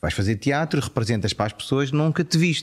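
A man speaks at a very fast pace. The recording is very clean with a silent background. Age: 40s. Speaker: actor and TV presenter. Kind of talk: casual chat.

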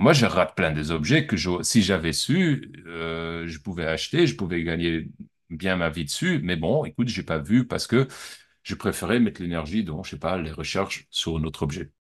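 Against a quiet background, a man with a very deep, low pitch talks at a moderate pace with ordinary pitch variation. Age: 40s. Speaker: art dealer. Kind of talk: interview. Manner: halting.

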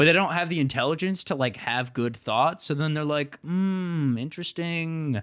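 With a plain, everyday voice, a man with an American accent talks at a fairly quick pace and a fairly high pitch, his intonation lively, on a very clean recording with a silent background. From Ohio. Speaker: podcast co-host. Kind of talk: casual comedic chat. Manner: jokey, laughing.

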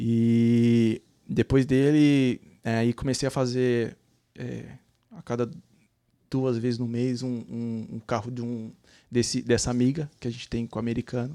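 Pausing long and often, a man talks at medium pitch in a dark, mellow tone, captured in a very clean recording with a silent background. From Brazil, São Paulo city. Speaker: cleaning business owner, immigrant. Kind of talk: casual interview. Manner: halting, repeats words.

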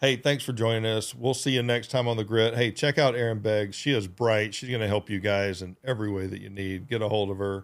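In a very clean recording with a silent background, a man with an American accent talks with hardly any pauses. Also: fairly low pitch for a man. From US state of Georgia. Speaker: podcast host. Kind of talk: casual chat. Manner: animated.

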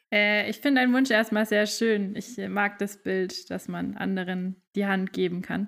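In a very clean recording with a silent background, a woman with an ordinary speaking voice talks fairly slowly at a medium pitch and with fairly even intonation. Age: 20s. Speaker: management consultant, new co-host for a season. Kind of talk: casual chat.

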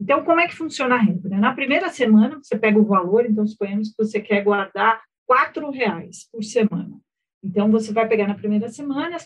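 A somewhat breathy woman, fairly high in pitch, at a fairly quick pace. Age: 40s. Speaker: financial education expert. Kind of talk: casual chat.

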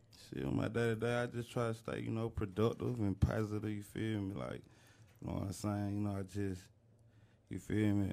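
The voice belongs to a man, fairly low in pitch with ordinary variation. He moves at a fairly quick pace in a dark, mellow tone. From Riverdale, Clayton County, Georgia. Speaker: rapper. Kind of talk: casual chat.

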